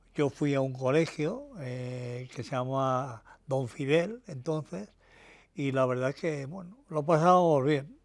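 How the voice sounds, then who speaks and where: With a medium-pitched voice, a man talks at a very slow pace. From Madrid, Spain (Tetuán). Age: 70s. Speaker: retired car mechanic and workshop manager. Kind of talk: interview, personal reminiscence. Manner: hesitant, many fillers and false starts.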